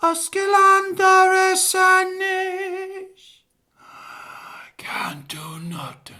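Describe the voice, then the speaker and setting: An extremely high, put-on character voice drags along at a very slow pace, broken by long, frequent pauses. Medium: stage play.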